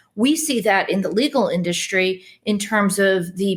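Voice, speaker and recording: Speaking with a Chicago accent, a woman sounds somewhat breathy. Her pitch shows ordinary variation. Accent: Chicago American English. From US Midwest (Chicago).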